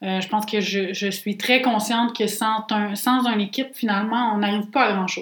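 Speaking in a Quebec accent, a woman with a fairly high voice keeps a moderate pace and a flat, monotone delivery, with hardly any pauses. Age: 20s. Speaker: podcast co-host, entrepreneur. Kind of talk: casual chat.

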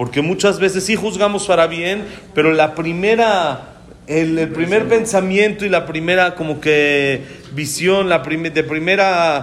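Amid noticeable background noise and audible room echo, a man talks at a fairly slow pace in a high-pitched voice. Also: ordinary pitch variation. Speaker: rabbi giving a Torah talk. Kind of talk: Torah lecture.

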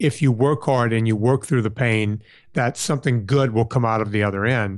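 A plain, everyday voice in an American accent moves at a moderate pace with ordinary pitch variation, on a very clean recording with a silent background. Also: man. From US South, southern Louisiana. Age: 50s. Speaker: personal trainer and podcast host. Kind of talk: interview.

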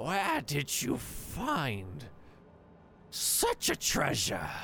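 Over clear background noise, a man uses a croaky, put-on character voice at a very slow pace.

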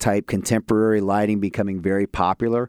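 The speaker has a Midwestern American accent and a fairly quick pace. The recording is very clean, with a silent background and a dry, close sound with no echo. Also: man. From Columbus, Ohio. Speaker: area sales manager. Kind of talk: casual interview.

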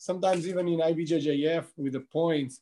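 Speaking with an Albanian accent, a man uses a dark, mellow tone and fairly even intonation. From Albania, Saranda. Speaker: jiu-jitsu athlete. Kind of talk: casual chat.

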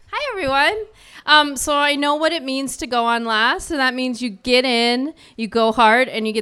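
A woman speaks at a moderate pace in an unremarkable speaking voice with ordinary pitch variation. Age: 40s. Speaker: writer and poet. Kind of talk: poetry reading with chatty intro. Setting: stage with audience.

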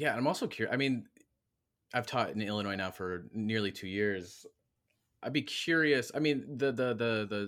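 In a very clean recording with a silent background, a man with an American accent uses an ordinary speaking voice, ordinary pitch variation and a moderate pace. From Michigan. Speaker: history professor and podcast host. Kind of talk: interview.

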